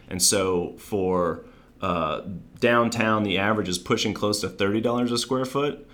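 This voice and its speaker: This man has a fairly low pitch and an American accent. He talks at a moderate pace, with audible room echo. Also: ordinary pitch variation. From Maryland. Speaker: commercial real estate developer. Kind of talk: interview.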